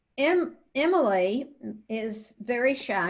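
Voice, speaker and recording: The background stays quiet as a woman talks in a fairly high pitch. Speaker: teacher trainer. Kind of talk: online training webinar. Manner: halting, many fillers.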